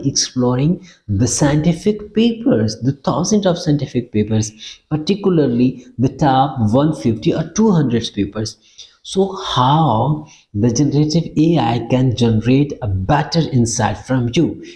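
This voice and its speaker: A man with a non-native accent speaks at a fairly slow pace in a fairly high pitch. His tone is dark and mellow, and somewhat breathy. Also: lively intonation, very even loudness. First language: not English. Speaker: academic researcher teaching research methods. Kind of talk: tutorial. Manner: halting, many fillers and repeats.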